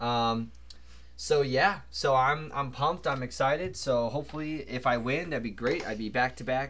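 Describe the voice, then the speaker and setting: The speaker uses a normal speaking voice at a moderate pace with ordinary pitch variation. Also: man, medium pitch for a man. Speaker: podcast host. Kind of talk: casual sports chat. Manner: rambling, filler words.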